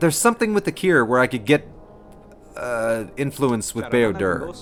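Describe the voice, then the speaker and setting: A man speaks at a moderate pace with lively intonation and a medium pitch. Music plays in the background. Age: 30s. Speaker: gaming streamer. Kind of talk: live game commentary with chat. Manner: casual, hesitant with fillers.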